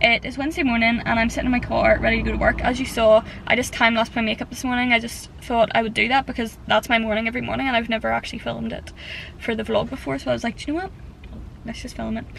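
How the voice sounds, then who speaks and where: A woman talks at a very fast pace, the sound dry with no echo and light background noise behind her. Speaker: vlogger. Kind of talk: casual vlog chat. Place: car. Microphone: phone near.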